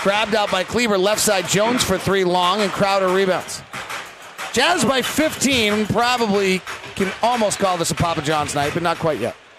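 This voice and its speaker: Music plays in the background as a man talks at a moderate pace and a high pitch. His loudness stays very even, with ordinary pitch variation. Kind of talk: basketball play-by-play radio commentary.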